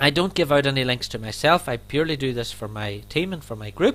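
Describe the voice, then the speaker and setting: Here is a man with an Irish accent and a fairly high pitch, talking at a very fast pace. The recording is very clean, with a silent background. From Ireland. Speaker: network marketing affiliate and trainer. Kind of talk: sales presentation.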